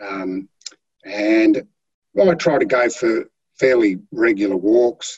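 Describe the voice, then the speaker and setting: With an Australian accent, a man of medium pitch talks at a very slow pace with lively intonation. Long, frequent pauses break up his speech. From Australia, Tasmania (Flinders Island). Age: 50s. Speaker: heart patient, boat builder. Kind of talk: interview testimony.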